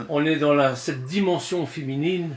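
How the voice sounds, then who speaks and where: This man talks at a fairly slow pace, his fairly high pitch rising and falling in an ordinary way. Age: 60s. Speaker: Bible study teacher. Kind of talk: religious discussion. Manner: halting, with repeated words.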